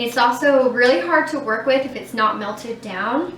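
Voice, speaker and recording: There's noticeable background noise here. Over it, a woman talks at a moderate pace in a high pitch. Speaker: beauty vlogger. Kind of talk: casual talk to camera.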